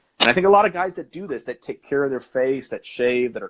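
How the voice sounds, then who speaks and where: This is a man speaking. He talks at a very fast pace. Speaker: podcaster. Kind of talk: casual chat. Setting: live stream. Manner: soft-spoken; soothing. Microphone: quiet, hard to hear.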